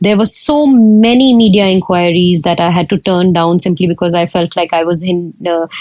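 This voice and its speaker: A woman with an Indian accent at a fairly low pitch, hardly any pauses, very even loudness, and noticeable background noise. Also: ordinary pitch variation, moderate pace. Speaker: photographer. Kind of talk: podcast interview. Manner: hesitant, many fillers.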